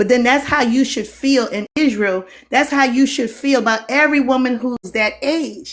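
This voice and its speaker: A high-pitched woman with a Geechee accent, at a moderate pace with ordinary pitch variation and hardly any pauses. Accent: Geechee, slurs some words. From Geechee (Gullah) Lowcountry, US Southeast coast. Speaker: teacher. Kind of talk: live stream discussion.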